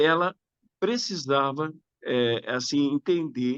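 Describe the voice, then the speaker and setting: A man speaks at a fairly slow pace against a quiet background. The sound is dry and close, with no echo. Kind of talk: webinar talk on discipleship.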